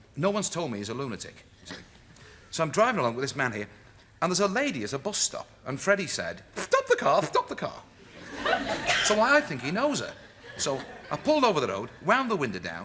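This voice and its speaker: A man's high voice at a fairly quick pace, with very wide pitch swings, long, frequent pauses and noticeable background noise. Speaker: comedian. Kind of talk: talk show interview. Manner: fast; animated storytelling.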